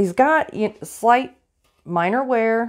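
A woman is heard against a quiet background. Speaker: vintage reseller. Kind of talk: casual vlog chat. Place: shop. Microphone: phone near.

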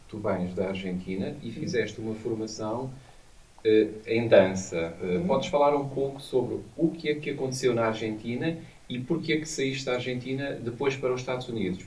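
A man is speaking. His pace is moderate. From Portugal. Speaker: academic interviewer. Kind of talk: interview. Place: studio.

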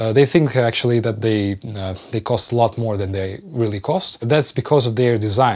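A man with a non-native accent speaks at a fairly slow pace with ordinary pitch variation. The background is quiet. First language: Russian. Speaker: sound engineer. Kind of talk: casual talk to camera. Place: studio. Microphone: lapel.

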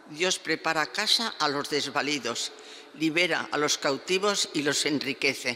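A woman with a low pitch speaks at a fairly slow pace. Her tone is bright and sharp, her intonation lively.

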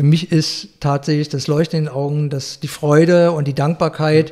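Fairly high-pitched yet dark and mellow in tone, a man speaks in a somewhat breathy, monotone, flat voice on a very clean recording with a silent background. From Berlin, Germany. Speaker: florist. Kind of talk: interview. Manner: hesitant, many fillers.

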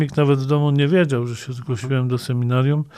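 The man's speech comes with noticeable noise in the background. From Greater Poland, western Poland (Śmigiel, Leszno). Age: 50s. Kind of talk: interview.

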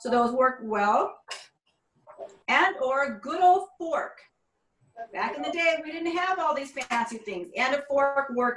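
A woman speaks at a moderate pace. Her high voice carries audible room echo. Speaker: cooking instructor. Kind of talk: tutorial. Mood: warm, friendly. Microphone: video call.

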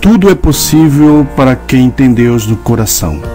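The speech comes at a very slow pace. Music plays in the background. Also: man. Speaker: narrator. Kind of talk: religious devotional message with prayer.

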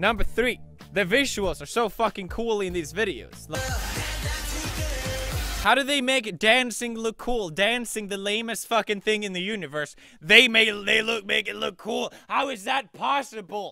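Over music in the background, a man talks at a moderate pace in a raised, projected voice, with a dry sound and no echo. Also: ordinary pitch variation. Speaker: video creator. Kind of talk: comedic reaction commentary. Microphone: studio mic.

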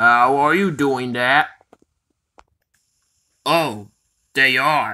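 In a cartoonish character voice, a man of medium pitch talks at a very slow pace with long, frequent pauses.

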